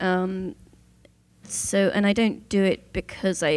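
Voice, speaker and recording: On a very clean recording with a silent background, a woman with a southern English accent talks at a medium pitch with vocal fry. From southern England, Southampton. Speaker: Torah scribe. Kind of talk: panel discussion.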